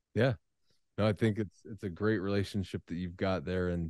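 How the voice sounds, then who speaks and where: A man with a very deep, low pitch and a dark, mellow tone, fairly even intonation, and a dry sound with no echo against a quiet background. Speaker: university lecturer and interviewer. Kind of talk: lecture-series interview. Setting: video call. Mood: friendly, smiling. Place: office. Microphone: studio mic.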